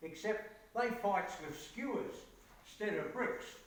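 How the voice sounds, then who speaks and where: The speech moves at a very slow pace amid noticeable background noise. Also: man. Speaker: poetry reciter. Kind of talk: poetry reading.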